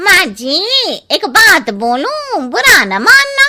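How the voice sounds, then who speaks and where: A woman puts on a cartoonish character voice at an extremely high pitch, with very wide pitch swings. She talks at a very slow pace. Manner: blunt, cheeky.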